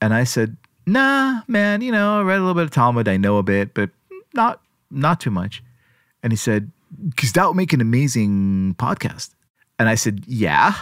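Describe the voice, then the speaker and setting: A man with a medium pitch talks at a moderate pace, his pitch swinging very widely. Long, frequent pauses break up his speech, and the sound is dry and close with no echo. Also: very clean recording, silent background. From Israel. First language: Hebrew. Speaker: journalist and podcaster. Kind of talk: interview conversation.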